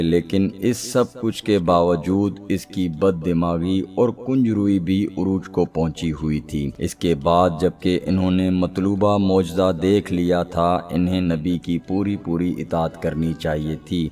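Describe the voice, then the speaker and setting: A man talks with a very deep, low pitch. His intonation is fairly even. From Pakistan. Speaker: voice-over artist. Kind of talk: religious history documentary narration.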